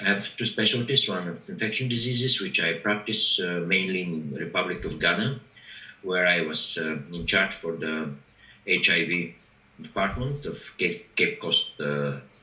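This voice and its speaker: In a room with audible echo, a man with a Bulgarian accent speaks at a moderate pace. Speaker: doctor. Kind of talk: video conference introduction. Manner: halting.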